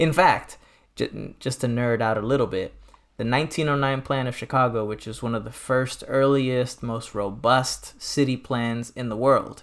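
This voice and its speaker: In a plain, everyday voice, a man with an American accent talks at a medium pitch with fairly even intonation on a very clean recording with a silent background. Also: moderate pace. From US Midwest (Detroit). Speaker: nonprofit president and doctoral student. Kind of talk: casual chat.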